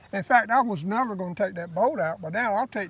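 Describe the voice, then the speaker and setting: A man speaks with a North Carolina accent. His pitch is high. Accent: Southern US (North Carolina). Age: 70s. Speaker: tractor owner. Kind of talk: casual chat.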